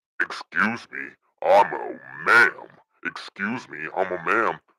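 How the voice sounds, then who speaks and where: A man uses a put-on character voice and speaks at a fairly slow pace. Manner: indignant, curt.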